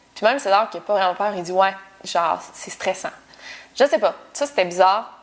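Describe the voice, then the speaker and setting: A woman with a Quebec accent speaks at a fairly slow pace and a medium pitch. Her pitch varies in an ordinary way, while her loudness swings a lot. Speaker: YouTuber. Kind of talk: casual Q&A vlog. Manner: casual, informal with many fillers.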